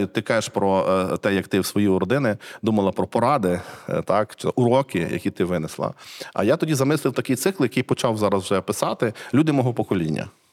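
Delivered at a very fast pace with very wide pitch swings, the voice sounds dry and close, with no echo. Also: man. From central Ukraine, Cherkasy region. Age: 40s. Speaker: literary scholar and museum director. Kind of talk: casual interview conversation.

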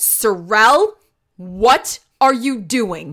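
A female-sounding voice takes on a put-on character voice. Its pitch is fairly high. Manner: stern, scolding.

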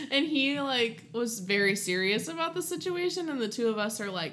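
A woman's fairly high voice with an American accent, very wide pitch swings, hardly any pauses and audible room echo. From southern Ohio. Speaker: podcast co-host. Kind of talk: casual chat. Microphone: new USB studio mic.

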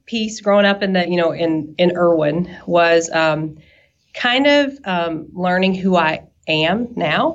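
With a slight Southern US accent, a woman speaks at medium pitch with ordinary pitch variation. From US South, East Tennessee. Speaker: nurse. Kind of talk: interview. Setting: podcast. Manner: talkative.

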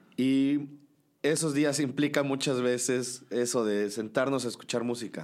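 A man talks in an ordinary speaking voice at a fairly slow pace. His pitch is medium, with fairly even intonation. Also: very even loudness. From Mexico, Cholula, Puebla. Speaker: musician. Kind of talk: casual chat. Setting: in person, before a show.

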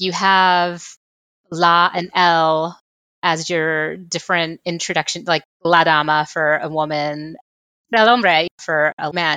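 At a very slow pace, a woman with an American accent speaks in a bright, sharp tone with fairly even intonation. The sound is dry and close with no echo, on a very clean recording with a silent background. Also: fairly low pitch for a woman. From South Texas, Rio Grande Valley. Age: 40s. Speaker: program manager. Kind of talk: interview conversation.

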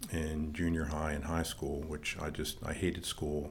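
A man with an American accent speaks at a moderate pace, somewhat breathy and very deep in pitch. Room echo is audible. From Maryland, northern Baltimore County. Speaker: church leader and former rock drummer. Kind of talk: personal testimony interview.

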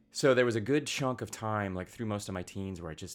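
A man with an American accent and a plain, everyday voice, fairly low in pitch with ordinary pitch variation, in a very clean recording with a silent background. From US, rural southeast Idaho. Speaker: comic book writer. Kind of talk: casual interview chat.

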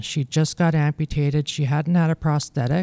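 A woman with a Canadian Prairie accent speaks at a moderate pace, her pitch very deep and low. Her tone is dark and mellow, and the sound is dry and close with no echo. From Manitoba, Canada. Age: 40s. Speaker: amputee. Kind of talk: interview.

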